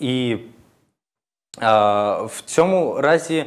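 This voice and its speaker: The speaker is a man. His intonation is lively. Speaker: political scientist; guest, political analyst. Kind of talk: panel discussion. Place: studio.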